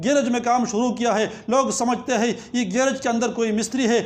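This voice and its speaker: A man with an extremely high-pitched voice speaks in a fairly even tone over noticeable background noise. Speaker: Islamic scholar giving a sermon. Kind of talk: Islamic lecture (bayan), passionate sermon. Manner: fervent, rhythmic, emphatic.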